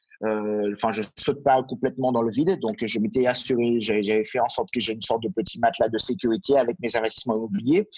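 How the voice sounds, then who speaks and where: Keeping to a medium pitch, a man speaks very fast with hardly any pauses and ordinary pitch variation. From Martinique. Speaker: real estate consultant. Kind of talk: interview. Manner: halting, many fillers.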